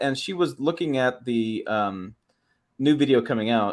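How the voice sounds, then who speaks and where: A man with a Midwestern accent, medium pitch and ordinary pitch variation. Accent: Midwest. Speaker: automotive YouTube host. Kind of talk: casual livestream chat. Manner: fast, words run together.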